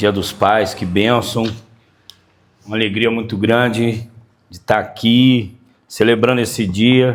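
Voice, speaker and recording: The speech is very slow, with long, frequent pauses and monotone, flat intonation. Room echo is audible. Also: man, medium pitch for a man. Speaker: pastor. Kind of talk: sermon. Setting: church.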